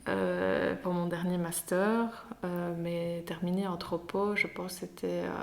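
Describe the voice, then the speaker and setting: Over noticeable background noise and audible room echo, a woman speaks at a very slow pace with hardly any pauses. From Belgium, Liège area (Herstal). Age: 20s. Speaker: anthropology graduate. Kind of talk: podcast interview. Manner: hesitant, many fillers.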